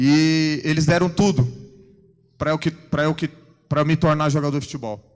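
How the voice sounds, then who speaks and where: With music in the background, a man speaks at a moderate pace in fairly even intonation, leaving long, frequent pauses. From São Vicente, São Paulo coast, Brazil. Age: 30s. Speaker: football goalkeeper giving testimony. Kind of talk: church testimony. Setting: church service with congregation.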